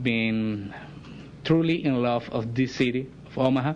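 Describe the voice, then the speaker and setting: A man talks at a fairly slow pace in a Spanish accent. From Venezuela. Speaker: visiting delegation spokesman. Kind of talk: public address. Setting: council chambers. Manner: halting.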